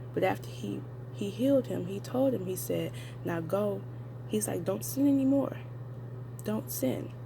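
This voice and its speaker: Whispering at a fairly slow pace, a woman speaks. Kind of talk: casual talk to camera. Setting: at work. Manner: whispered.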